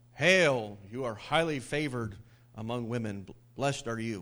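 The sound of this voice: A man uses a booming, put-on character voice at a medium pitch and a moderate pace.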